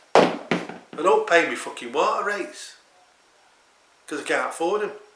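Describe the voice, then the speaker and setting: Over noticeable background noise and audible room echo, a man talks at a fairly slow pace with big swings in loudness. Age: 60s. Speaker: video diarist. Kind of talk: personal video diary monologue. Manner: agitated, profane.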